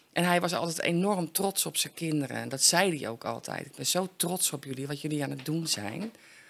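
A woman talks at a fairly quick pace with hardly any pauses. Her very deep, low voice carries vocal fry and ordinary pitch variation. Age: 50s. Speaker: recovering addict. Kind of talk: interview testimony.

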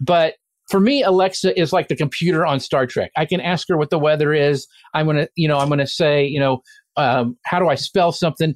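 A man talks in a normal speaking voice at a fairly quick pace. His pitch is fairly high, and the sound is dry and close with no echo. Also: fairly even intonation, very even loudness. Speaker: social media marketing expert. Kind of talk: casual chat.

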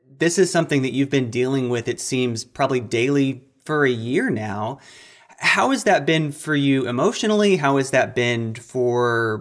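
At a moderate pace, a man with an ordinary speaking voice and medium pitch uses lively intonation. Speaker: health reporter. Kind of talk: interview.

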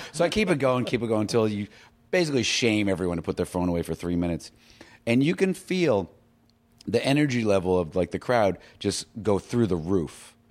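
A man with an American accent speaks at a fairly quick pace in a fairly low pitch, his intonation lively, in an ordinary speaking voice on a very clean recording with a silent background. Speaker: filmmaker. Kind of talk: casual chat.

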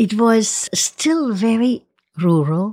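A woman with a fairly high pitch talks in a somewhat breathy way, her pitch varying in an ordinary manner. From Switzerland, Ticino. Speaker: winery figure. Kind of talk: interview.

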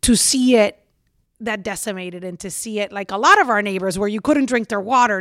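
On a very clean recording with a silent background, a woman with a Puerto Rican accent speaks in an animated tone at a medium pitch, with ordinary pitch variation. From Puerto Rico. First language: Spanish. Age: 40s. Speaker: TV reporter. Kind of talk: casual interview chat. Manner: animated, laughs often.

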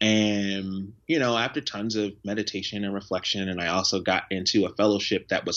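Speaking at a moderate pace with an American accent, a man uses a fairly low pitch in an ordinary speaking voice. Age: 20s. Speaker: nonprofit founder and teacher. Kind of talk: interview. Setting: video call.

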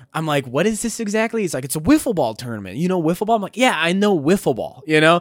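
On a very clean recording with a silent background, a man speaks in a high pitch with very wide pitch swings. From North Dakota. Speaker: comedian. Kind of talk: casual chat.

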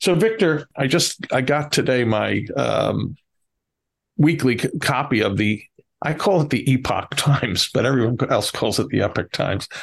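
With an American accent and vocal fry, the speaker talks at a moderate pace with lively intonation and very even loudness. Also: man, medium pitch for a man. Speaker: podcast co-host. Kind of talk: interview podcast. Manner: hesitant, many fillers.

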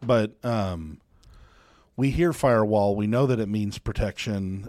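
A man speaks in a dark, mellow tone with ordinary pitch variation. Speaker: co-host web developer.

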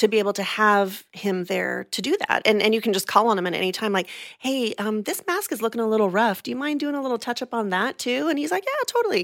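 Speaking at a very fast pace with hardly any pauses, a woman with an American accent uses lively intonation. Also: fairly high pitch for a woman. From California. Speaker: theme park show performer. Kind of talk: casual interview.

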